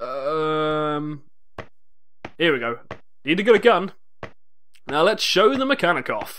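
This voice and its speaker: With an English accent, a man speaks at a high pitch and fairly slow pace, his bright, sharp tone marked by very wide pitch swings and long, frequent pauses. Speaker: video game let's play commentator. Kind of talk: gameplay commentary.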